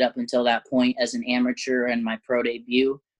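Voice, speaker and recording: A man's normal speaking voice with an American accent, medium in pitch, in a dry, close sound with no echo. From southern Oregon, US. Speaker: MMA fighter. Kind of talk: casual interview.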